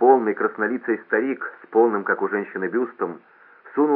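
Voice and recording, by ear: The recording presents reading aloud in a natural voice.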